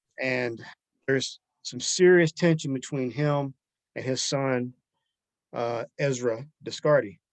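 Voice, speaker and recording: Medium-pitched male voice with a Southern US accent, fairly even intonation, dry and close with no echo. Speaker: author. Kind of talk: interview answer. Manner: soft-spoken.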